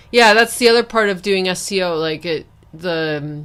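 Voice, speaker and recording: On a very clean recording with a silent background, a woman speaks at a fairly slow pace with a medium pitch and ordinary pitch variation. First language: bilingual English and Spanish. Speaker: SEO consultant and podcast host. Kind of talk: casual interview chat.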